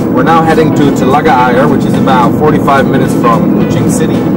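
With music in the background, a man talks at a moderate pace and ordinary pitch variation. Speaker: travel vlogger. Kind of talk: casual vlog chat. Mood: cheerful, upbeat. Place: car. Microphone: phone near.

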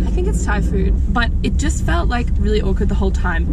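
A woman talks at a moderate pace in a dry recording with no echo, with loud background noise behind her. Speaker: vlogger passenger. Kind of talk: casual vlog chat. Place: car. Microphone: phone near.

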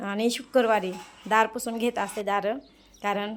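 This woman's fairly high voice stays monotone, with flat intonation. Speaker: home vlogger. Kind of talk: casual vlog narration.

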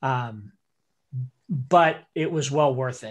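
A man's fairly high voice at a very slow pace over a quiet background. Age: 50s. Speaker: school director and animator. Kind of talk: interactive online workshop. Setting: video call. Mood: relaxed, reflective. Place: home room. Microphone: video call.

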